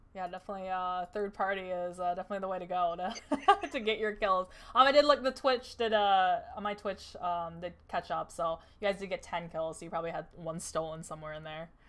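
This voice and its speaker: A woman with an American accent speaks in an unremarkable speaking voice at medium pitch and a fairly quick pace. Her pitch varies in an ordinary way, while her loudness swings widely. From Wisconsin. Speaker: esports tournament caster. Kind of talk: post-match interview.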